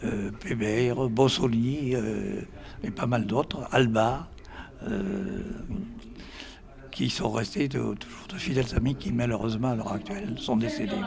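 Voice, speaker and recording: A man at medium pitch, very slow, with very wide pitch swings and audible room echo. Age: 80s+. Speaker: former rugby player. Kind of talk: interview testimony. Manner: halting.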